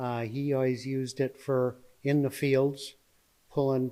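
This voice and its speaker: In an Upper Midwest accent, a man speaks very slowly with a dark, mellow tone and a monotone, flat intonation. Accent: Upper Midwest (Minnesota). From Minnesota, near Zumbrota. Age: 70s. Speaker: retired master electrician and farmer. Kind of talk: casual interview. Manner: halting, many fillers.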